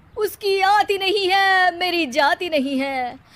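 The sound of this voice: A woman in a put-on character voice speaks slowly at an extremely high pitch, with ordinary pitch variation and a fairly bright tone.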